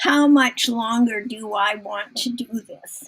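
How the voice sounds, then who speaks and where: Speaking very slowly, a woman uses a high voice with fairly even intonation. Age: 80s+. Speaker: author. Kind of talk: mentoring session.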